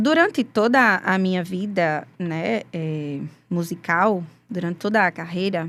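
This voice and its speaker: A woman speaks at a fairly slow pace with a Rio Grande do Norte accent and ordinary pitch variation, on a very clean recording with a silent background. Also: medium pitch for a woman. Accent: Brazilian Portuguese, northeastern (potiguar). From Brazil, Rio Grande do Norte interior. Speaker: gospel singer, former forró band singer. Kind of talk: interview testimony.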